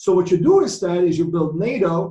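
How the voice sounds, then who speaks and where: A man with a Croatian accent and ordinary pitch variation. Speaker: economics professor. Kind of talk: conference presentation. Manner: halting, many fillers.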